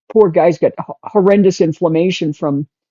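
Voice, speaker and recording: Here a woman has a fairly low pitch. She talks at a moderate pace. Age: 60s. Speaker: artist interviewed about carnivore diet and emphysema. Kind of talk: interview. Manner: animated, enthusiastic.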